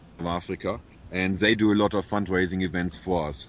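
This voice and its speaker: With a German accent, a man talks at a moderate pace in a very deep, low pitch and fairly even intonation. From Germany. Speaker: animal shelter founder. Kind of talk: interview.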